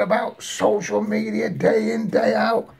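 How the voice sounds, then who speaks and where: A man speaks over noticeable background noise. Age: 60s. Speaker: video blogger. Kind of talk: political rant. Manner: agitated, stammering repetitions.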